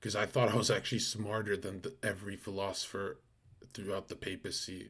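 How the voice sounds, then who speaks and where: A man speaks in a somewhat breathy voice. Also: very clean recording, silent background. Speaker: live streamer. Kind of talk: casual live-stream chat. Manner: speaking in a lower voice.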